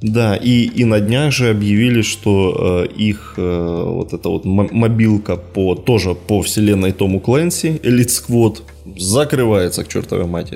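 A man with an unremarkable speaking voice. His pitch sits fairly low, and his intonation is lively. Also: fairly slow pace. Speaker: podcast host. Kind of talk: casual chat.

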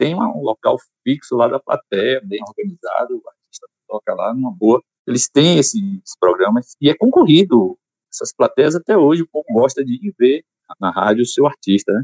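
Loudness swings widely while the talking holds a moderate speed. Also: man. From Salvador, Bahia, Brazil. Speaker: choir conductor and musician. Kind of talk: casual interview.

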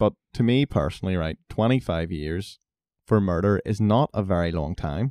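Very deep and low, a man's dark, mellow voice moves with lively intonation at a moderate pace. The recording is very clean and dry, close with no echo and a silent background. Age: 20s. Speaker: podcast host. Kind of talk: casual discussion.

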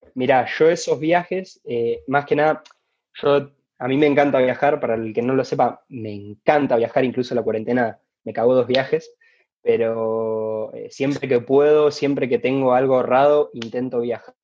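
An unremarkable speaking voice, male and mid-pitched, at a medium tempo with normal shifts in pitch. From Argentina, Rosario. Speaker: basketball player and entrepreneur. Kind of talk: interview.

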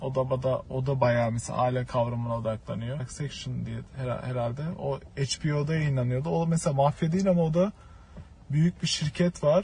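At a moderate pace, a man speaks in a dark, mellow, somewhat breathy voice with ordinary pitch variation. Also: medium pitch for a man. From Turkey. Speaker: film student. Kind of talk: casual chat.

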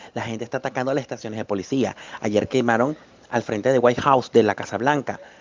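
Someone talks at a very fast pace with a Venezuelan accent. The intonation stays fairly even. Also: man, medium pitch for a man. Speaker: political scientist. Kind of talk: testimony.

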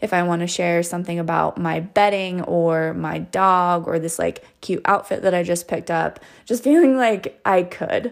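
A plain, everyday voice from a woman, fairly low in pitch, with ordinary pitch variation, a moderate pace and hardly any pauses. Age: 30s. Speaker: podcast host. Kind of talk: casual chat. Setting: remote call.

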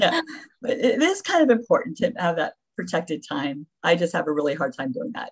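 A woman talks at a fairly quick pace with vocal fry. Her fairly high pitch swings very widely. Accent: American. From Florida (Davie). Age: 60s. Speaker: retired nurse and memoirist. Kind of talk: interview.

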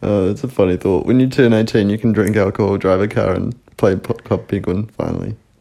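Fairly quick in pace, a man with a New Zealand accent has a fairly low pitch and a dark, mellow tone. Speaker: podcast co-host. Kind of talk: casual chat.

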